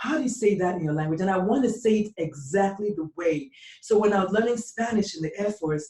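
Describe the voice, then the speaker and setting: The speaker has an animated tone and lively intonation at a fairly quick pace. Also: woman, medium pitch for a woman. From Nigeria. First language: Igbo. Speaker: pediatrician. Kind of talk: interview.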